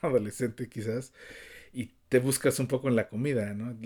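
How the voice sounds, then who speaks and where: With a Mexico City accent and fairly even intonation, a man speaks in a very clean recording with a silent background. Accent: Mexico City Spanish (chilango). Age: 50s. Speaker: podcast co-host, cook. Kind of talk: casual chat.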